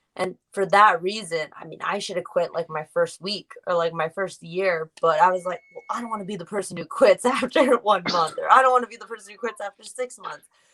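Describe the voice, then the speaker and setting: In an American accent, a woman with an unremarkable speaking voice talks fairly quickly with hardly any pauses. Her pitch is medium, with ordinary pitch variation and big swings in loudness. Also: dry, close sound with no echo. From US Northeast, Rhode Island. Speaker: professional wrestler. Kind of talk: interview.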